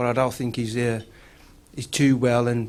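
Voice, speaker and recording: Noticeable background noise is present. A man speaks over it at a fairly quick pace. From Bilston, West Midlands, England. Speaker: local council politician. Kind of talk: conference speech. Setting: stage with audience. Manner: halting.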